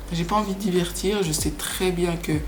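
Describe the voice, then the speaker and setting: Noticeable background noise and audible room echo around a woman's moderate pace. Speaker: YouTuber. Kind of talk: casual vlog monologue. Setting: small flat, home. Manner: halting, repeats words.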